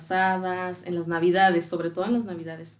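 A woman talks at a moderate pace in a medium pitch. She uses a normal speaking voice over a quiet background. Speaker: actress. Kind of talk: casual chat.

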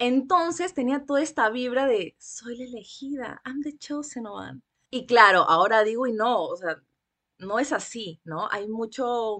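The voice moves at a fairly slow pace with lively intonation, a bright, sharp tone and big swings in loudness. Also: woman, high pitch for a woman. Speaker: book podcaster and former bookseller. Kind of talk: casual chat. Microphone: sounds good on the podcast mic.

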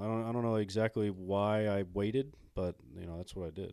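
Over a quiet background, a man with an American accent talks at a fairly quick pace. His voice is a plain, everyday voice, with a fairly low pitch. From Illinois. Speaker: former pro baseball player and coach. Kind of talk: casual interview chat.

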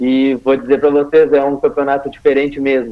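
Fairly high-pitched male speech at a moderate pace, a normal speaking voice. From Rio Grande do Sul, Brazil. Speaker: futsal player. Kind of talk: interview.

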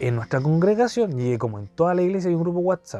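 With music in the background, a man with a Chilean accent talks at a fairly quick pace with lively intonation. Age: 20s. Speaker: podcast host. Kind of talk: personal storytelling monologue. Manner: casual, colloquial.

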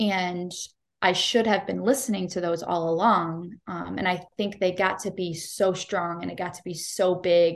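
A woman in an ordinary speaking voice with an American accent, fairly low in pitch, fairly even in intonation, at a moderate pace, over a quiet background. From US Midwest (Cleveland, Ohio). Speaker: nurse and life coach. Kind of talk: casual interview chat.

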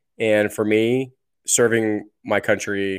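On a very clean recording with a silent background, a man talks in monotone, flat intonation. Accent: American. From New Jersey. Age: 30s. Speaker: military veteran and podcast host. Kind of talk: podcast interview.

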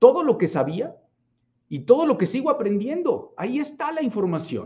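A man's dark, mellow voice at a fairly slow pace, with very wide pitch swings. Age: 40s. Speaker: business coach. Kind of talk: livestream talk. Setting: live stream.

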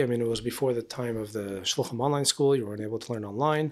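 A man with an American accent, medium pitch and ordinary pitch variation. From US, El Paso, Texas. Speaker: rabbi, emissary. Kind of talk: casual interview conversation. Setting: quiet apartment during a conference.

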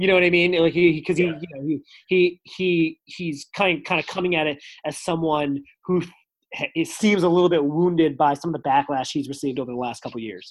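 With an American accent, a man speaks fairly quickly in an ordinary speaking voice, pitched fairly high, with fairly even intonation. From United States. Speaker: journalist and stand-up comedian. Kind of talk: interview.

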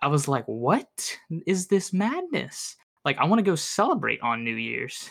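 Speaking at a fairly slow pace, a man is heard in a very clean recording with a silent background. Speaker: podcast host. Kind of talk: casual chat.

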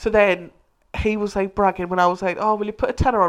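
Pitched at a medium level, a woman speaks at a fairly quick pace. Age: 20s. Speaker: podcast co-host. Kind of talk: casual chat. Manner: animated.

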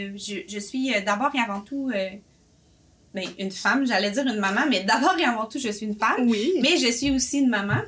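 A woman's fairly high voice with lively intonation at a moderate pace, over noticeable background noise. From Quebec, Boisbriand. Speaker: café owner, entrepreneur. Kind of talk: casual interview.

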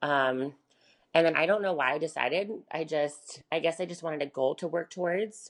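The speaker is a woman with an American accent. Behind her, the background stays quiet. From US South, Charlotte, North Carolina. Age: 20s. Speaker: bikini competitor and prep coach. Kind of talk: casual interview.

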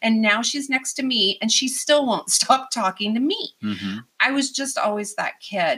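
A woman speaks loudly at a moderate pace, with hardly any pauses. Her high voice has lively intonation. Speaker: youth empowerment coach. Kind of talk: casual interview chat. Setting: studio. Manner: animated, loud, talkative.

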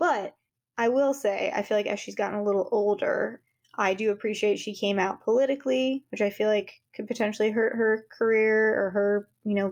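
An ordinary speaking voice with an American accent, moving at a moderate pace. The intonation stays fairly even. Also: woman. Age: 30s. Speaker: podcast co-host. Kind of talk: casual chat. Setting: video call.

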